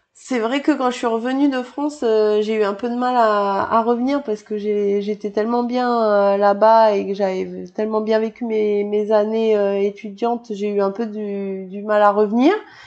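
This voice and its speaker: A plain, everyday voice, a woman's at a fairly high pitch, goes at a fairly slow pace with fairly even intonation and hardly any pauses. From New Caledonia. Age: 30s. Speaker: PE teacher and triathlete. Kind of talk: casual interview.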